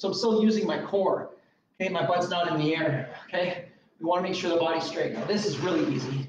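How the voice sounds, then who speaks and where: Audible room echo and light background noise frame a man with high pitch. His pitch variation is ordinary and his pace fairly quick. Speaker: fitness trainer. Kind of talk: tutorial. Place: gym. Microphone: camera far.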